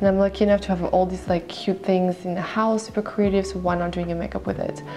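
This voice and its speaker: A woman speaks quietly with a French accent. Music plays in the background. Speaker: makeup artist. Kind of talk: makeup tutorial. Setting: at home. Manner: quiet, talking low.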